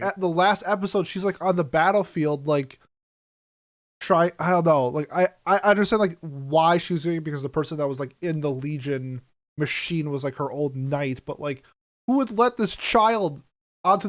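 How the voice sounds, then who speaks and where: A man talks at a moderate pace with a fairly high pitch and ordinary pitch variation in an ordinary speaking voice on a very clean recording with a silent background. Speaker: podcast host. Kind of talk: casual podcast talk.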